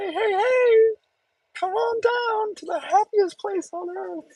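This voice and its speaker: In a put-on character voice at an extremely high pitch, the speaker sounds cheerful and goes at a fairly slow pace. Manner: cheerful, welcoming.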